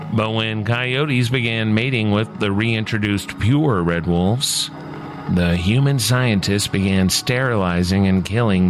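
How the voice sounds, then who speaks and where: Over noticeable background noise and audible room echo, a man with a fairly low pitch talks at a fairly slow pace, his loudness very even and his intonation lively. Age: middle-aged. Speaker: radio host. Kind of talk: scripted narration.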